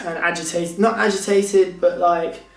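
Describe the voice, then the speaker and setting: There is audible room echo around this man's voice, plus noticeable background noise. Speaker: vlogger. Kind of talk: casual vlog talk.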